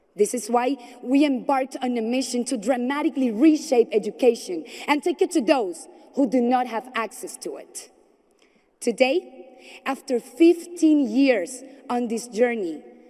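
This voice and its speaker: A Spanish accent with lively intonation, big swings in loudness and a moderate pace. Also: woman, high pitch for a woman. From Colombia. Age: 20s. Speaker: entrepreneur and speaker. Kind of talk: conference speech. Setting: stage with audience. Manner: formal.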